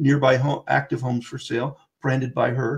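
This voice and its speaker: Somewhat breathy, the man's voice sits fairly high. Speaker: webinar trainer for real estate software. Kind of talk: webinar tutorial. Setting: online webinar with screen share. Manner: fast.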